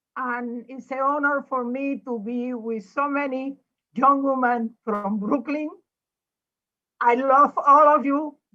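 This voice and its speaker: A woman's raised, projected voice, high-pitched and bright and sharp, at a very slow pace with fairly even intonation. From Puerto Rico. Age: 80s+. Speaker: former politician. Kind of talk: panel remarks.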